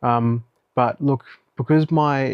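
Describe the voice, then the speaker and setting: A man mumbles his words. His intonation stays fairly even. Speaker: vlogger. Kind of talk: casual video diary. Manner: mumbling.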